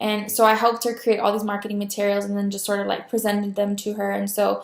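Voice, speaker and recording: Her intonation stays monotone and flat. The woman's pitch is medium. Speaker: communication student. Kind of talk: class introduction video. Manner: filler words, stutters.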